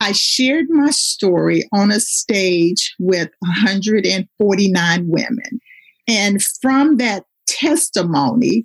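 The sound is dry and close, with no echo. The voice is somewhat breathy, with lively intonation. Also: woman. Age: 50s. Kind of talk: faith testimony.

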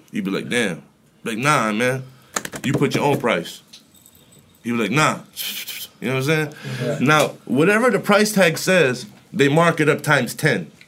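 Amid noticeable background noise, a man with an American accent speaks at a moderate pace and fairly high pitch, making very wide pitch swings and long, frequent pauses. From Florida. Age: 30s. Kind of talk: casual chat.

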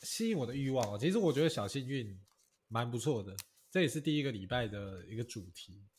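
This man talks fairly quickly and somewhat breathily, with lively intonation and big swings in loudness. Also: medium pitch for a man. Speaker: podcast co-host. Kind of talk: casual chat.

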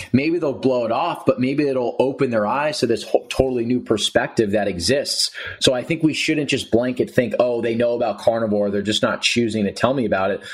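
Noticeable background noise runs under a man who talks fairly fast in an American accent. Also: medium pitch for a man, ordinary pitch variation. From New Jersey. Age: 20s. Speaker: podcast host and health advocate. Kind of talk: casual interview.

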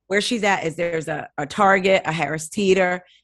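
A woman with an American accent has a plain, everyday voice, a fairly low pitch and fairly even intonation over a quiet background. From New Jersey. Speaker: podcast host, guest. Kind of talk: casual chat.

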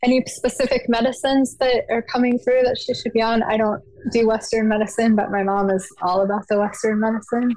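Amid noticeable background noise, a woman at a fairly high pitch talks at a fairly quick pace with very even loudness. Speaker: caller. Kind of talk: casual chat.

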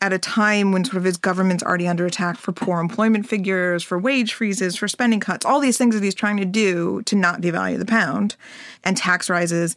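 A woman speaks at a medium pitch with fairly even intonation. She has a plain, everyday voice. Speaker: head of research for a TV series. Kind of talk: interview.

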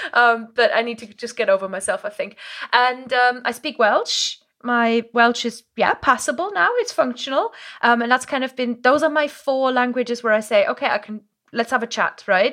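A woman with a German accent speaks at a moderate pace in a high, bright, sharp voice, her tone animated and her pitch variation ordinary. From Germany, Moselle region. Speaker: language coach. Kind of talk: casual interview. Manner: animated, laughs often.

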